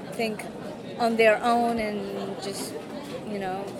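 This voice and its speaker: A woman amid crowd noise in the background, with audible room echo. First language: Japanese. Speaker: university student and former translator. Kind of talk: interview.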